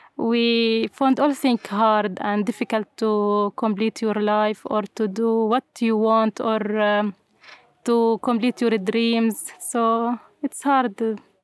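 Very slow and monotone, a woman with an Arabic accent speaks in a fairly high, flat voice at very even loudness. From Syria, Homs. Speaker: refugee, English teacher. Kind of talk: interview. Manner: halting, hesitant English.

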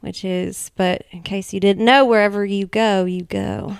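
Recorded very cleanly with a silent background, a woman talks at a moderate pace and a medium pitch. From Tennessee (Nashville area). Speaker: podcast host and stand-up comedian. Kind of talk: casual chat.

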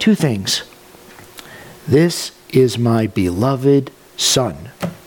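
A man with a medium-pitched voice makes very wide pitch swings. He leaves long, frequent pauses, with noticeable background noise behind him. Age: 30s. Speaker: pastor. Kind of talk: sermon.

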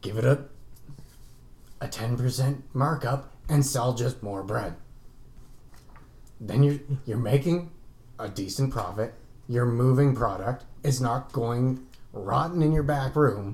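A man's raspy put-on character voice, medium in pitch with ordinary pitch variation, very slow, with long, frequent pauses. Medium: actual play. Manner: blunt, intimidating.

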